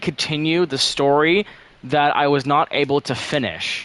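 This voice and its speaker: A man is talking. The tone is bright and sharp. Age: 18. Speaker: game streamer and map developer. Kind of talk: casual live stream chat. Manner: casual, fillers and restarts.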